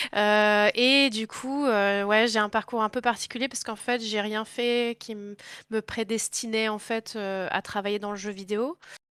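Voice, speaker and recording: Against a silent background on a very clean, dry, close recording with no echo, a woman speaks at a fairly slow pace. Her fairly high pitch stays monotone and flat. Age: 20s. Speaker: video game industry worker. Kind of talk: interview. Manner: hesitant with many fillers.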